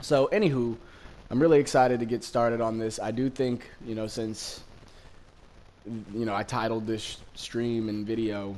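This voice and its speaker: With fairly even intonation, a man speaks at a moderate speed in a medium pitch. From Los Angeles County, Southern California, US. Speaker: gaming streamer. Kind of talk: gameplay commentary. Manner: casual, many fillers.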